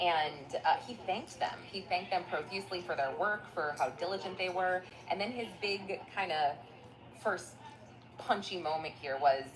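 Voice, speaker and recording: Music plays in the background behind a woman with a medium pitch. She talks at a moderate pace with ordinary pitch variation. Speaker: court news commentator. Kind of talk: news recap vlog. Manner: soft-spoken.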